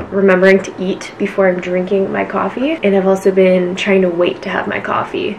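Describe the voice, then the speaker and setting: A woman's fairly quick delivery with hardly any pauses and fairly even intonation, over light background noise. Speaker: lifestyle vlogger. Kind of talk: casual vlog chat. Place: home room. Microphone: camera far.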